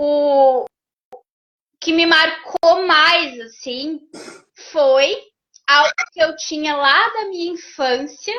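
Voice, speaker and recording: With a southern Brazilian accent, a woman speaks very slowly in a high voice with ordinary pitch variation and long, frequent pauses. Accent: gaúcho Brazilian Portuguese. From Rio Grande do Sul, Brazil. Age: 40s. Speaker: therapist and behavioral mentor. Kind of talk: interview testimony.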